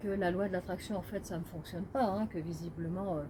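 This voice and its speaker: Somewhat breathy, a woman speaks in a dark, mellow tone at a medium pitch, with fairly even intonation and a moderate pace. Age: 60s. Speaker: medium and numerologist, author. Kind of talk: casual monologue to camera. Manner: halting, many hesitations.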